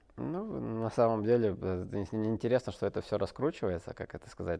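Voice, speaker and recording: This man talks at a fairly quick pace in a fairly low voice, with ordinary pitch variation. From Russia, Barnaul; Russia. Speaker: ice hockey player; interview guest. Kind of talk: interview. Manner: halting, many fillers. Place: studio.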